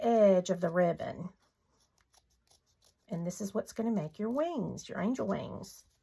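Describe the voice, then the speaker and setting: A woman's medium-pitched voice with a Southern US accent. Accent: US South. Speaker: craft tutorial maker. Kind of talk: tutorial. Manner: casual, chatty.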